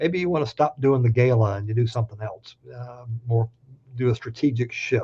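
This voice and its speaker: A man with a Southern US accent speaks at a fairly quick pace, his tone dark and mellow and somewhat breathy. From US South. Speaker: labor law expert speaker. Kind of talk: webinar presentation. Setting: virtual town hall. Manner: fast.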